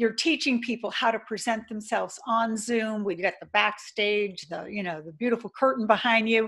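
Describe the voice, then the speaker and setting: A woman speaks in a fairly high pitch at a moderate pace. Her voice is somewhat breathy. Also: quiet background. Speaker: podcast host. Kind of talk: interview. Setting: video call.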